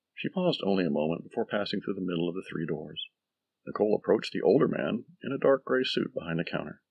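Against a quiet background, someone reads aloud in a plain manner.

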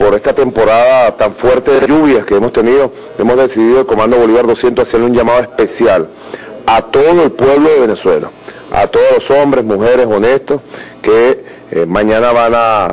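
Keeping his loudness very even, a man talks at a moderate pace with ordinary pitch variation. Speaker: government minister. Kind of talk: press statement. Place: hall. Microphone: handheld.

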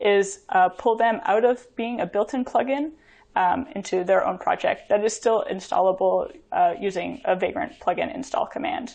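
The speaker moves at a moderate pace with very wide pitch swings. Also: woman. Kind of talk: conference talk. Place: home room. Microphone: webcam.

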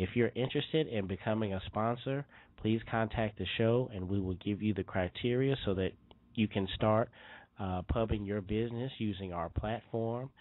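This is an ordinary speaking voice. A man with a fairly low pitch talks at a moderate pace. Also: ordinary pitch variation. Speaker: podcast host. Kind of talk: show announcements; casual interview.

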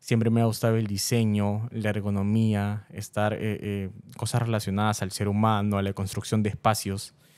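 Against a quiet background, a man with a normal speaking voice talks at a moderate pace and a fairly low pitch. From Peru. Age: 20s. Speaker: content creator. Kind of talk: interview. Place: studio. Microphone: studio mic.

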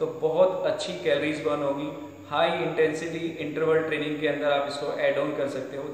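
Strong room echo fills the recording as a man speaks at a fairly slow pace with monotone, flat intonation. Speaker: fitness trainer. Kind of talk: tutorial. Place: gym. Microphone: camera far.

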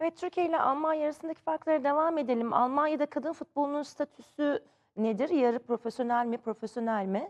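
A high-pitched woman talks at a fairly quick pace with hardly any pauses, ordinary pitch variation and very even loudness, in a dry, close sound with no echo. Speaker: TV sports show presenter. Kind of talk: TV talk show. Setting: TV studio. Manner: effusive.

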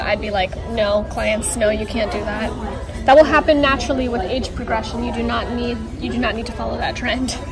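A woman speaking at a fairly quick pace, with clear music in the background. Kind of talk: casual service chat with a client. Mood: friendly, upbeat. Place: shop. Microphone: phone near.

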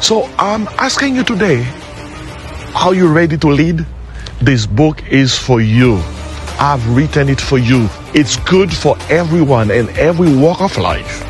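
Clear music plays behind a man who speaks fairly slowly with long, frequent pauses in a dry sound with no echo. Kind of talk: promotional address to camera. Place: waterside.

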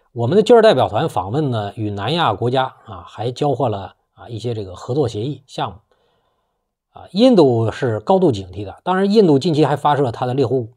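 A man talks at a fairly quick pace in a dark, mellow, somewhat breathy voice against a quiet background. His pitch swings very widely and his loudness swings a lot. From China. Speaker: political commentator YouTuber; political commentator. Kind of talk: monologue commentary. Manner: casual with frequent filler particles. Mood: assertive, opinionated. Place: home room.

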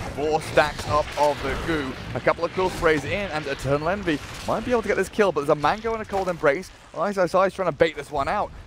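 A man talks at a very fast pace in a high pitch with an animated tone and ordinary pitch variation. Noticeable background noise is present. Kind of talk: esports commentary. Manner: fast, excitable play-by-play; animated, shouting at big kills.

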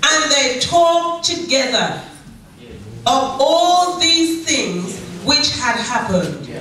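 Over light background noise and strong room echo, a woman talks at a very slow pace. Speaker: pastor. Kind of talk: sermon. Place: church.

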